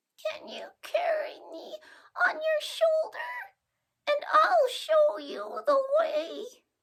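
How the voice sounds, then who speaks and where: A put-on character voice at an extremely high pitch. It moves at a very slow pace. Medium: read story. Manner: meek, pleading.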